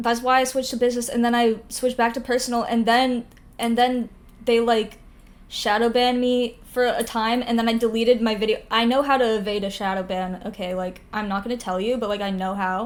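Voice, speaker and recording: The pace is fairly quick. Intonation stays fairly even. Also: woman, fairly high pitch for a woman. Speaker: streamer and video creator. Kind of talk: casual chat. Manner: says 'like' between every word.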